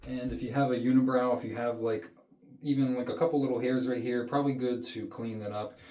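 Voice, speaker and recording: Audible room echo surrounds a man who speaks fairly quickly at a medium pitch with fairly even intonation. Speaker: health coach, skincare video creator. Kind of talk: tutorial. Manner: casual, conversational.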